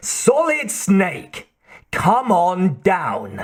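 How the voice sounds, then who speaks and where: Using a put-on character voice, a man speaks high for a man with lively intonation. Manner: mocking, taunting.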